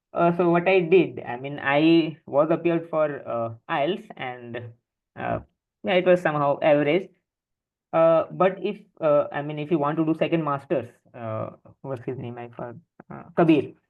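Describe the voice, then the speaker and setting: A man with an Indian accent speaks at a moderate pace in a fairly high pitch with ordinary variation. He uses long, frequent pauses, and his loudness swings widely. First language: Hindi. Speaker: education mentor panelist. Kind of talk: webinar panel Q&A. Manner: halting, many fillers.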